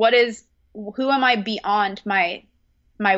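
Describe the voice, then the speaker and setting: A woman speaks with an American accent in a normal speaking voice. Her pitch is medium, with ordinary variation. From California. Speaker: personal trainer and health coach. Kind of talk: casual interview.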